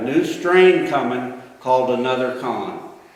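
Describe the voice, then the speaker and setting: Fairly high-pitched man with a Texan accent at a fairly slow pace, amid noticeable background noise and audible room echo. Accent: Texan Southern American. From Texas (Houston / East Texas). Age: 60s. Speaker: political candidate and pastor. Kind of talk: campaign speech.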